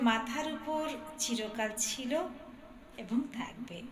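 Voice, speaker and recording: There is noticeable background noise behind a woman who speaks at a high pitch. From India. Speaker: anchor. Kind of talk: cultural event anchoring.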